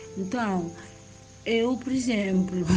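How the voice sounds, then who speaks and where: With audible room echo, a woman of medium pitch speaks at a very slow pace. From Guinea-Bissau. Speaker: Portuguese learner sending an audio message. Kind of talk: recorded voice message. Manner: halting, with fillers.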